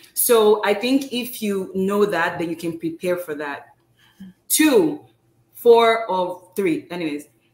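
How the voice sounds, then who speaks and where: A woman speaks very slowly at a medium pitch, with very wide pitch swings and big swings in loudness. Audible room echo surrounds her voice. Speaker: pharmacist and postdoctoral fellow; guest. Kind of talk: informal interview. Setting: live video stream. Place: home room.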